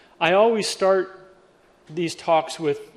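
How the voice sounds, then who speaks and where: Noticeable background noise is heard as a man talks with an American accent. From Western Pennsylvania, Pittsburgh. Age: 60s. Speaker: cybersecurity speaker. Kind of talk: keynote talk.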